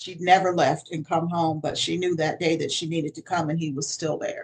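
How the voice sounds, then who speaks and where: A woman talks at a fairly quick pace in a somewhat breathy, fairly low voice with monotone, flat intonation. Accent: American. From Connecticut, US. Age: 60s. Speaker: author and minister. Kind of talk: interview testimony.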